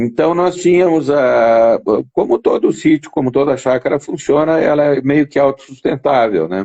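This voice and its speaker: A man's fairly high voice, dark and mellow in tone, keeps a moderate pace. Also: ordinary pitch variation, dry, close sound with no echo. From southern Brazil, Rio Grande do Sul (Jaguarão, Uruguay border). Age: 60s. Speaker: interview guest sharing life story. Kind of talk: casual interview. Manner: halting, many repetitions.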